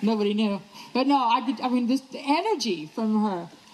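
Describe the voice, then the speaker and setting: Her voice is fairly high for a woman, with lively intonation and a fairly quick pace. Noticeable background noise runs underneath. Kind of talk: one-woman stage show, storytelling to live audience. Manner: humorous, lively.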